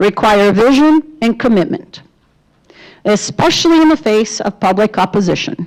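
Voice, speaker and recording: With a Brazilian accent, a woman speaks at a fairly high pitch with very wide pitch swings and very even loudness. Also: moderate pace. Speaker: debate moderator. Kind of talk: moderating a candidate forum.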